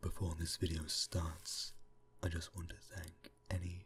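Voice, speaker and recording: Soft-spoken and somewhat breathy, a man with a British accent talks in a very deep, low voice. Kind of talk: ASMR reading.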